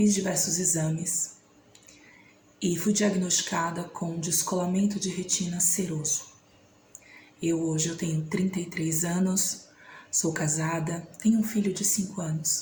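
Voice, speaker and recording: A woman talks fairly slowly in a flat monotone, leaving long, frequent pauses. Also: fairly low pitch for a woman. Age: 30s. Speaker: vlogger. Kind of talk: personal testimony.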